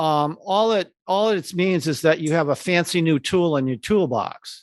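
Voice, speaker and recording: Against a quiet background, a man uses an unremarkable speaking voice at a fairly high pitch with ordinary pitch variation. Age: 60s. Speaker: advertising creative. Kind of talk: interview.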